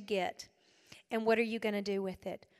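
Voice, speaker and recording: The speaker has a South Carolina accent. The delivery is fairly quick, with an animated tone. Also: woman. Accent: US Southern (South Carolina). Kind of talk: women's retreat talk.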